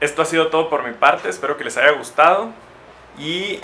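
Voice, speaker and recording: Speaking at a moderate pace, a man uses a fairly high pitch. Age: 20s. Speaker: chemical engineer. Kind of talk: educational talk for young children. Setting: industrial power plant, partly outdoors. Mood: friendly, encouraging.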